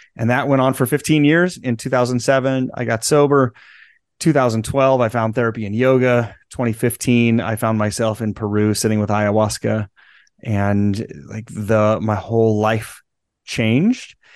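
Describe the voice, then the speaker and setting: A man with an ordinary speaking voice, medium pitch and fairly even intonation, at a moderate pace with an American accent over a quiet background. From US Midwest, central Nebraska. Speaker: transformational guide. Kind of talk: interview.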